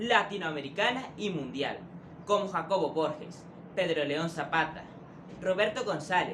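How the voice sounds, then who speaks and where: Noticeable background noise behind a man's high-pitched voice, fairly slow, with ordinary pitch variation. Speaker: interviewer. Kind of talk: presenter introduction read.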